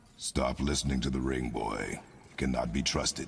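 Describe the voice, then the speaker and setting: A man puts on a character voice pitched very deep and low, delivered in a flat monotone. Clear background noise runs behind him. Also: moderate pace. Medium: machinima. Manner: terse, cold.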